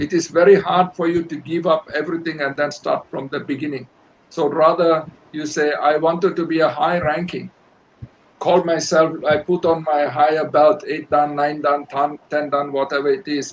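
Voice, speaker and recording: At a moderate pace, a man talks in a fairly high, monotone, flat voice. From Malaysia. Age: 70s. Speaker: karate master. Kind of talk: interview.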